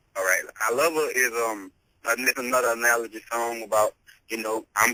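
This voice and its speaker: A man with a slight Louisiana accent is heard in a dry, close sound with no echo. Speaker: hip hop artist. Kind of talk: interview.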